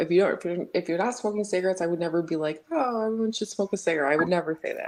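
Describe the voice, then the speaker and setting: A woman's medium-pitched voice with ordinary pitch variation, a normal speaking voice. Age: 30s. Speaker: caller on live chat show. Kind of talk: casual debate.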